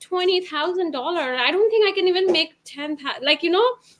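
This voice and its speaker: This woman's pitch is extremely high, with lively intonation. She has a non-native accent. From Bhutan. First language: not English. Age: 30s. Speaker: former therapist, stay-at-home mom, online business owner. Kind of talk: interview testimony. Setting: live webinar video call. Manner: halting.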